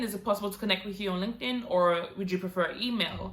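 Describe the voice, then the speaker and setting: Noticeable background noise sits behind a woman's voice. She talks at a fairly quick pace with a medium pitch. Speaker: YouTuber giving career tips. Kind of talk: vlog tutorial. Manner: fast.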